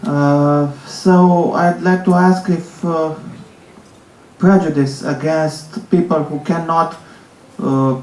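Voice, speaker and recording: A man with a high voice speaks very slowly with long, frequent pauses and fairly even intonation, amid noticeable background noise and audible room echo. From Romania. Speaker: audience member asking a question. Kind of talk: audience question.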